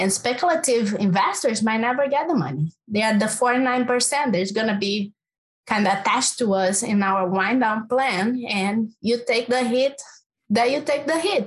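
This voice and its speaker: With a Brazilian accent, a woman speaks at a moderate pace. Her pitch is fairly high. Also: ordinary pitch variation, very even loudness. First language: Portuguese. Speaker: climate finance researcher. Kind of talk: panel discussion.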